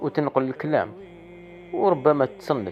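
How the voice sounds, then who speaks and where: A man with an Algerian accent, his pitch swinging very widely, music playing in the background. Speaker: dream interpreter. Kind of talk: casual talk to camera.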